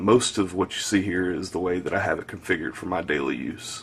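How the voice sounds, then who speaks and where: Here a man speaks in a Southern US accent with a very deep, low pitch. His intonation is fairly even. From US South. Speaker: tech reviewer. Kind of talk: product review tutorial. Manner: casual, filler-heavy.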